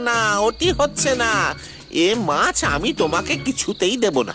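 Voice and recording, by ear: A cartoonish character voice, fairly high in pitch, moves along at a moderate pace. Clear music plays in the background.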